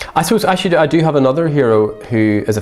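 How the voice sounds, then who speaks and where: Over music in the background, a man with an Irish accent talks at a very fast pace with ordinary pitch variation. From Ireland. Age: 50s. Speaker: saxophone professor. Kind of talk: interview.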